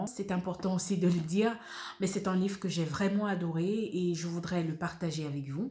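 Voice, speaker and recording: A woman's somewhat breathy voice, dark and mellow in tone, at medium pitch with ordinary pitch variation and a moderate pace. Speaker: voice-over actress, audiobook narrator. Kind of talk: book review presentation to camera.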